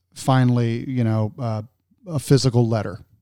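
A man with an American accent, a dark, mellow tone, fairly even intonation and a fairly slow pace. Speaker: podcast host and storage investor. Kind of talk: casual interview. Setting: video call.

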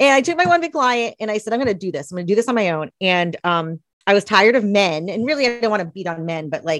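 A woman with an American accent talks very fast at a medium pitch, with very wide pitch swings, in a dry, close recording with no echo. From US South, East Tennessee. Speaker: accountant and author. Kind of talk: interview.

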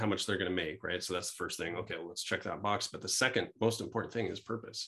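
A plain, everyday voice with ordinary pitch variation over a quiet background. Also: man. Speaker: business school professor. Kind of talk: interview.

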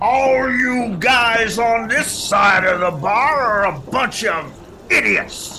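Someone bellows in a put-on character voice. The pitch is fairly high and the pace very slow. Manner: menacing, bellowing.

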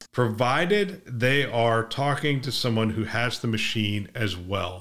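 A man speaks at a medium pitch and a fairly slow pace, with ordinary pitch variation. He has an ordinary speaking voice. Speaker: podcast host. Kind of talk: news reading; casual chat. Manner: even, measured news-reader cadence; conversational.

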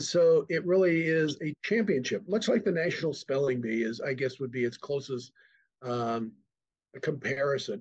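A man with an American accent, somewhat breathy, fairly high in pitch, with lively intonation at a moderate pace. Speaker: nonprofit executive director. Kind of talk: casual interview.

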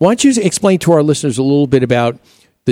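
A man speaks in an upbeat tone that is also dark and mellow. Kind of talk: radio DJ patter: live weekend home-improvement radio show, chatty and welcoming. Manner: upbeat, easygoing and chatty, with laughs and ad-libbed banter.

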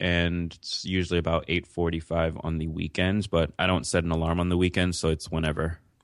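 This man has a New York accent. His pitch is very deep and low. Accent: New York American. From New York City, born in Jamaica. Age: 20s. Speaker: podcaster and entrepreneur. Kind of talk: interview.

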